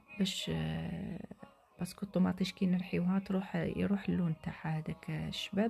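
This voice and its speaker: Over music in the background, a woman talks with an Algiers accent. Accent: Algerian Arabic (Algiers), French loanwords. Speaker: home cook. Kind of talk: cooking tutorial. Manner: hesitant, many fillers.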